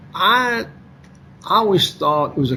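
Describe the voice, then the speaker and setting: A man with a Kentucky accent over noticeable background noise. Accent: Kentucky Southern US. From Kentucky, Lexington. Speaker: author and former financier. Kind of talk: interview.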